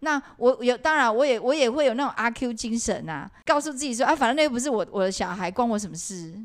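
A woman's high-pitched, very fast speech with lively intonation and hardly any pauses, on a very clean recording against a silent background. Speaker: podcast co-host, former cram school English teacher. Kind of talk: casual chat.

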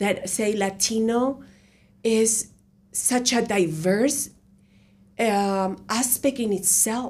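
Speaking at a very slow pace, a woman has a fairly high pitch and a Spanish accent. She leaves long, frequent pauses. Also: ordinary pitch variation, very even loudness. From Colombia. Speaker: university professor. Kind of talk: interview. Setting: radio studio.

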